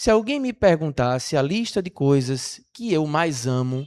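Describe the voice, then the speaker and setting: A man talks at a fairly slow pace with very wide pitch swings, in a very clean recording with a silent background and a dry, close sound with no echo. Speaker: spiritist lecturer. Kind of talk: lecture. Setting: stage with audience.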